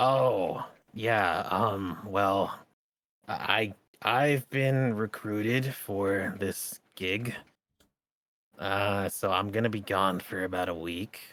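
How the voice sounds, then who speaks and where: Putting on a character voice, a man speaks in a raspy tone with a fairly low pitch. His pace is very slow. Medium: actual play. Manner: friendly, casual.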